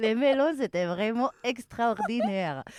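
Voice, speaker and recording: Recorded very cleanly against a silent background, a woman with a Spanish accent speaks very slowly at a fairly high pitch, with a dry, close sound and no echo. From Spain, Malaga. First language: Spanish (speaking French). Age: young. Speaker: mountain restaurant manager. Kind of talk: interview. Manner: halting.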